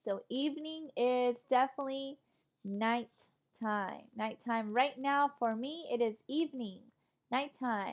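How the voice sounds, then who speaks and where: A woman speaks fairly slowly in a high pitch with ordinary pitch variation. Her tone is animated. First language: Spanish. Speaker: online English teacher. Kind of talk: online lecture class.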